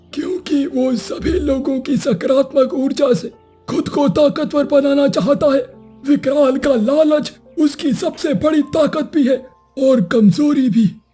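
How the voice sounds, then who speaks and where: A cartoonish character voice moves at a fairly slow pace over faint music in the background. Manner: slow, grave storyteller.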